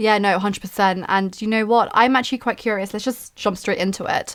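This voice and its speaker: With an Essex accent, a woman speaks fairly quickly at medium pitch with fairly even intonation on a very clean recording with a silent background. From Essex, England. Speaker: consulting and productivity content creator. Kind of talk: casual chat. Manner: informal.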